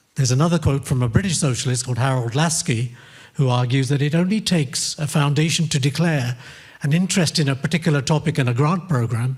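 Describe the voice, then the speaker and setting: At a fairly quick pace, a man speaks in a fairly high, somewhat breathy voice with ordinary pitch variation. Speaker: academic panelist. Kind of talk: conference presentation.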